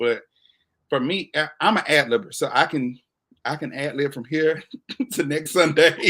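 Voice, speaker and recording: Recorded very cleanly against a silent background, a man with an unremarkable speaking voice talks at a fairly high pitch with ordinary pitch variation. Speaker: talk show host and gospel singer. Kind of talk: casual interview chat. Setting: livestream.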